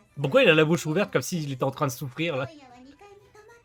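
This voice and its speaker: A man's voice sits at a fairly high pitch. Behind him, music is playing. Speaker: gaming video creator. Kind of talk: let's play commentary with game text read aloud. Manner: casual, chatty.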